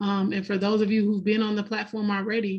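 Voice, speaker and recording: In a monotone with flat intonation, a woman speaks at medium pitch over noticeable background noise. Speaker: software trainer. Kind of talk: webinar wrap-up.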